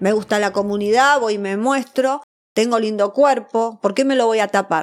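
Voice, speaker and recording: A normal speaking voice at a moderate pace with ordinary pitch variation, on a very clean recording over a silent background. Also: woman. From Argentina, Buenos Aires. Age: 40s. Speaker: Madonna impersonator and performer. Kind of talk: interview. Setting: studio.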